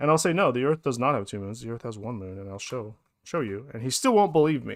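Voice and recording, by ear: A man talks at a fast pace with lively intonation. His pitch sits in the medium range.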